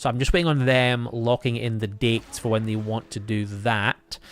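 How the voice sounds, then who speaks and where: A man with a Scottish accent speaks at a medium pitch. His intonation is fairly even. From Scotland. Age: 30s. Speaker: gaming streamer. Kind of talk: live stream chat. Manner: hesitant fillers.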